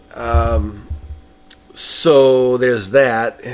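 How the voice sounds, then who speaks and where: The speaker has a New England accent. Noticeable background noise can be heard. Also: man. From New England, Boston. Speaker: podcast host, horror film reviewer. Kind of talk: solo podcast film review. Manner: casual, hesitant with fillers.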